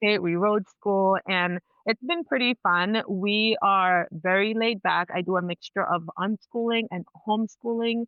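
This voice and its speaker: A woman with a Spanish accent, at a moderate pace. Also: medium pitch for a woman, ordinary pitch variation. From Dominican heritage. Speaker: cycle alignment mentor and nurse. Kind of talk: podcast interview. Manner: loud.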